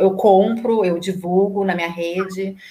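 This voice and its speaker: A woman talks at a fairly slow pace. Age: 40s. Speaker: environmental sustainability professional. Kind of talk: casual interview. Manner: halting, many fillers.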